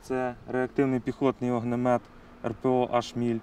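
A man speaks at medium pitch and a fairly slow pace. The sound is dry, with no echo. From Ukraine. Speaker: special forces officer. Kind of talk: on-camera briefing showing captured weapons. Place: open country. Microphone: lapel.

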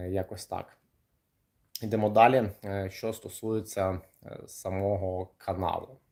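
A man's fairly low, dark, mellow voice, monotone and flat, at a very slow pace with long, frequent pauses, in a very clean recording with a silent background. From Kryvyi Rih, Ukraine. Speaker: kickboxer and coach. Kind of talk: livestream monologue. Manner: casual, hesitant with fillers.

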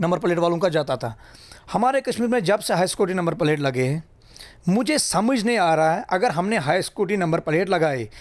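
With lively intonation, a man keeps his speech at a moderate pace. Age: 30s. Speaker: road safety activist. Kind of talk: interview. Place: office. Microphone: handheld.

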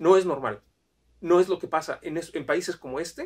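A man talks at a moderate pace with a high pitch. The background is quiet. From Mexico. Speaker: immigration consultant. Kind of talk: video monologue. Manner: halting, many fillers. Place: home room. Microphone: camera far.

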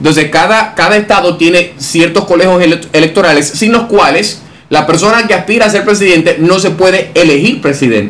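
A man talks fairly quickly in a high pitch with ordinary pitch variation. His loudness stays very even. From Dominican Republic. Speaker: interviewer and analyst. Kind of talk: interview. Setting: office. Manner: formal. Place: studio. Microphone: studio mic.

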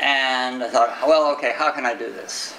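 A man with an American accent talks at a fairly slow pace and a medium pitch. The room echo is audible, with light background noise. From Texas. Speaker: IT security engineer. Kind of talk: conference talk. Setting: stage with audience. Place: meeting room. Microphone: camera far.

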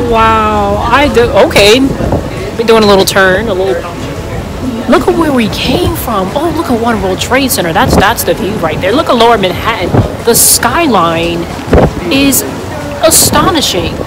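Speech moves at a moderate pace with long, frequent pauses while music plays in the background. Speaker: vlogger filming. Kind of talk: casual vlog chat. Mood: awed, delighted. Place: boat. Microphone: phone near.

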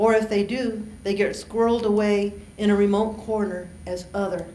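A woman's voice is heard with audible room echo. Light background noise is also present. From US Southwest, Mexican-American family. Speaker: university diversity administrator. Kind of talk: keynote speech; Q&A answers. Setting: conference stage with audience. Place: hall. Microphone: podium.

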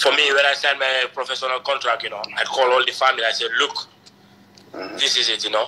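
Delivered at a very fast pace in a flat, monotone intonation, this voice comes with light background noise. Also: man. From Gambia. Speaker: professional footballer; interviewee. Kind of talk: interview. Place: home room. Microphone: earbuds.

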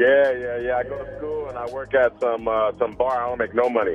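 A man's monotone, flat delivery over faint background music. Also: fairly quick pace. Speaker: radio caller. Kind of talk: phone-in chat. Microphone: phone line.

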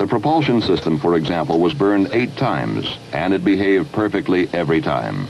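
Over noticeable background noise, a man with an American accent speaks in a solemn tone at a fairly low pitch, with very wide pitch swings, very even loudness, a fairly quick pace and hardly any pauses. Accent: mid-century general American announcer. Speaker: documentary narrator. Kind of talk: 1960s NASA documentary narration, scripted and authoritative. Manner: formal, measured, steady and dignified; solemn pride.

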